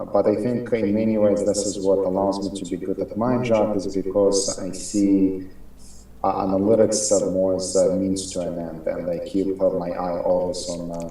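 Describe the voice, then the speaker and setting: A man speaks at a moderate pace with a fairly low pitch and monotone, flat intonation. Noticeable background noise and audible room echo surround him. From Ukraine. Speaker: marketing executive, analytics expert. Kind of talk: interview. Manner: hesitant, many fillers.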